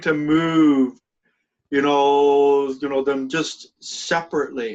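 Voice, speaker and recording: Very slowly, a man with a fairly high pitch talks in a fairly even intonation. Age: 60s. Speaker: spiritual group leader. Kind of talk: casual chat.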